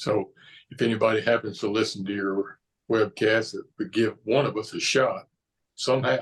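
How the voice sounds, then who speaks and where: A man with a Southern US accent and a somewhat breathy voice talks at medium pitch with fairly even intonation. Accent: Southern drawl. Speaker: pastor. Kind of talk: interview conversation.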